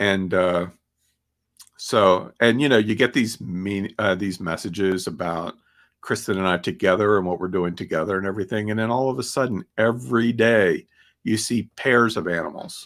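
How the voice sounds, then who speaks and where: On a very clean recording with a silent background, a man talks at a moderate pace in an ordinary speaking voice. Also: fairly low pitch for a man, ordinary pitch variation. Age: 60s. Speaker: podcast host. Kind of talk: casual talk with slides.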